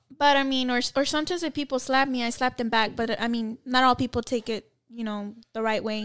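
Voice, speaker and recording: At a fairly quick pace, a woman speaks in an unremarkable speaking voice with a fairly high pitch. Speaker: guest. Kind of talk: casual chat. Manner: laughs often, joking.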